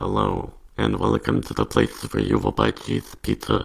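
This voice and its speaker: This is a put-on character voice that sounds robotic. It moves at a moderate pace. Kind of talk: customer-service greeting.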